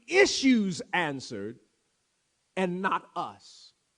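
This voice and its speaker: In a bright, sharp tone, a man speaks with a raised, projected voice. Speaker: preacher, church pastor. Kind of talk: sermon delivered to a congregation. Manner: rhetorical, emphatic, repeating for effect.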